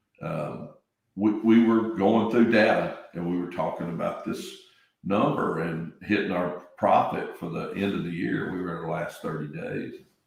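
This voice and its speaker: The pitch moves in an ordinary way at a moderate pace. Some room echo can be heard. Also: man. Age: 60s. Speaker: real estate business owner. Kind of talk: podcast interview.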